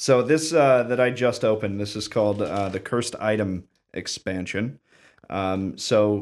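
Over a very clean recording with a silent background, a man with an American accent speaks in an ordinary speaking voice at a moderate pace, his fairly low pitch showing ordinary variation. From Clyde, Ohio. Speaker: board game designer and writer. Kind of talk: casual chat.

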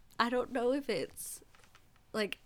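Woman with a Canadian accent, vocal fry and a bright, sharp tone. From Ontario, Canada. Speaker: podcast host, singer-songwriter. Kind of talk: casual interview chat.

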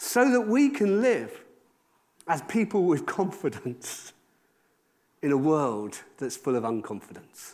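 In a South Wales accent, a man talks at a high pitch and a very slow pace, his pitch swinging very widely between long, frequent pauses. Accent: South Wales Welsh English. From Wales, South Wales valleys. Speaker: pastor. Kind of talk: sermon.

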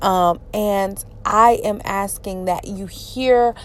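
The speaker is a woman. She has a Southern US accent. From Georgia, US South. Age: 30s. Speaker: podcaster. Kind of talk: personal monologue. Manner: halting, many fillers.

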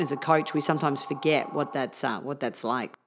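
A woman with an Australian accent, very deep and low in pitch, very fast, on a very clean recording with a silent background. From Australia, Melbourne. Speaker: tennis coach and speaker. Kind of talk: casual interview.

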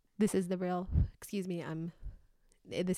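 The recording is very clean, with a silent background. A woman speaks at a fairly low pitch with a dark, mellow tone and ordinary pitch variation. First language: not English. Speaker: podcast co-host. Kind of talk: casual chat.

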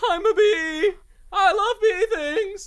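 An extremely high-pitched put-on character voice at a fairly slow pace. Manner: silly, playful.

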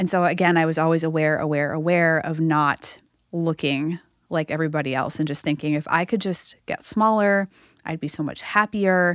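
On a very clean recording with a silent background, a woman speaks in a normal speaking voice with an American accent. Her fairly low voice moves at a moderate pace with fairly even intonation. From US Northeast (Massachusetts). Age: 40s. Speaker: author and fitness coach. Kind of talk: interview conversation.

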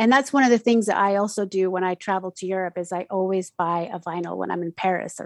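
With a Spanish accent, a woman at medium pitch talks at a fairly quick pace with ordinary pitch variation, in a dry, close sound with no echo. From Mexico City, raised in Utah from age ten. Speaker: community radio DJ. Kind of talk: casual interview. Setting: video call.

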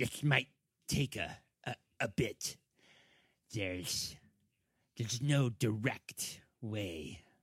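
Putting on a character voice at a medium pitch, a man talks at a very slow pace with lively intonation and long, frequent pauses, in a dry, close sound with no echo. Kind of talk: fantasy role-play character voice. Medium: actual play. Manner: terse, guarded.

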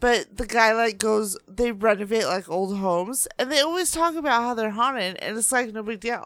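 On a very clean recording with a silent background, a woman with a fairly high pitch and a plain, everyday voice speaks at a moderate pace with ordinary pitch variation. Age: 30s. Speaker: co-host's girlfriend. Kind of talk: casual chat. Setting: studio.

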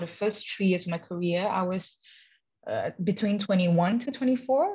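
Somewhat breathy and fairly slow, a woman speaks with lively intonation. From Malaysia. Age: 30s. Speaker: professional dancer and dance teacher. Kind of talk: interview. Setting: podcast recording.

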